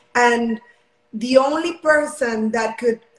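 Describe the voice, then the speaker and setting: At a very slow pace, a woman speaks with a high pitch and a Spanish accent. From Mexico. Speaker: Olympic long jumper. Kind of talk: interview.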